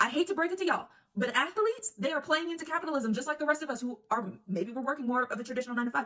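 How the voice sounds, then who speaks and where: A woman talks at a very fast pace in a high, bright, sharp voice. Her tone is animated and her voice is raised and projected. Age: 20s. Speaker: sports commentator. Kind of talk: casual monologue.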